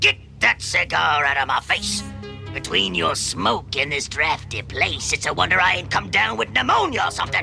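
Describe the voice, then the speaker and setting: A man in a cartoonish character voice at a moderate pace, with clear music in the background. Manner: blustering, stammers when scared.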